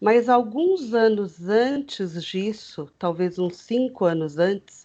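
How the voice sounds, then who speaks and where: A woman speaks at a very slow pace. Her intonation is lively, and the background is quiet. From Greater São Paulo, Brazil (Osasco). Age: 40s. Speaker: teacher with fibromyalgia, interviewee. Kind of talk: interview, personal testimony. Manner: hesitant, many fillers.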